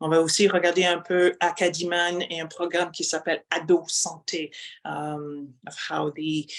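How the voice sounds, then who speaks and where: Monotone, flat intonation from a woman with a French accent, at a fairly slow pace. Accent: Canadian English, non-native French. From Canada. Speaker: university lecturer. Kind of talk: webinar presentation. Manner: halting with fillers and repetitions.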